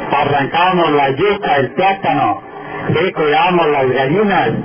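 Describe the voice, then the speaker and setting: A man's voice at a fairly slow pace, with ordinary pitch variation and noticeable background noise. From Colombian Llanos (Meta); Colombia. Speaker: local politician. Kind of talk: public speech. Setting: outdoors. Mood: nostalgic, warm. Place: street.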